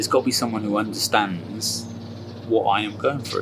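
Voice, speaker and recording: A medium-pitched man talks fairly quickly, with noticeable background noise around him. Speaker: weight management consultant. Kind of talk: personal testimony. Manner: stammers at times; talkative.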